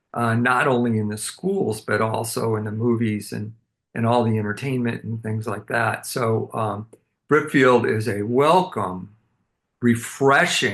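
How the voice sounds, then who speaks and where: A very slow pace with ordinary pitch variation. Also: man. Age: 70s. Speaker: interview host. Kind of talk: interview.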